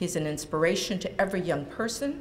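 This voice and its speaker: Noticeable background noise runs under the speech. Room echo is audible as well. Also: woman. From California (born in rural Jalisco, Mexico). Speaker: lawyer. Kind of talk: public speech. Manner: halting.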